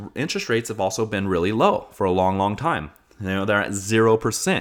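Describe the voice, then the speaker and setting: This man has an ordinary speaking voice with an American accent. He talks fairly quickly, fairly low in pitch, with ordinary pitch variation. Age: 30s. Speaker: podcast host. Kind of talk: casual monologue.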